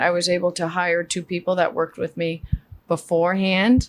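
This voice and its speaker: Speaking in a New York accent, a woman talks at a medium pitch. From Queens, New York. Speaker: flooring business owner. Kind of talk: casual chat.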